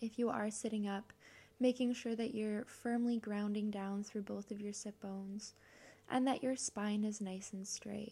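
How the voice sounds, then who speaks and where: A dark, mellow, soothing tone comes through somewhat breathy, with monotone, flat intonation. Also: woman. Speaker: podcast host and meditation guide. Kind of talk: guided meditation. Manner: soft, slow, soothing; warm, gentle, encouraging.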